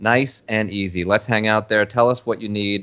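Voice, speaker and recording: At a moderate speed comes an unremarkable speaking voice. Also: man. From Argentina, moved to the US as a child. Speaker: podcast co-host, wellness author. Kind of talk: casual chat.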